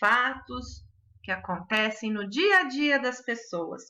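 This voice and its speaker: Speaking at a very slow pace, a woman has a bright, sharp tone and lively intonation. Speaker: schoolteacher. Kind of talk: recorded online lesson.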